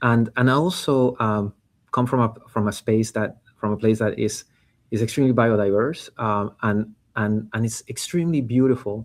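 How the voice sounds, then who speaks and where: Speaking with a Panamanian accent, a man keeps a moderate pace. His pitch is medium and his intonation fairly even. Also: very clean recording, silent background. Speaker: startup founder and CEO. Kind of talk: interview. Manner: halting, many fillers and repetitions.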